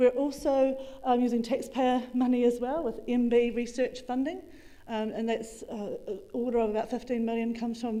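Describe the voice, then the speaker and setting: A woman with a New Zealand accent speaks at a high pitch in a dark, mellow tone. Her intonation is fairly even, her pace fairly quick, and the room echo is audible. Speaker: agricultural researcher. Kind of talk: conference talk. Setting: conference room with audience. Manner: fast.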